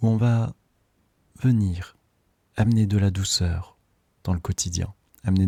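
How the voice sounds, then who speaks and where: Soft-spoken and somewhat breathy, a man with a very deep, low pitch talks at a fairly slow pace with fairly even intonation. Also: dry, close sound with no echo, very clean recording, silent background. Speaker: breathwork facilitator. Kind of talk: guided meditation.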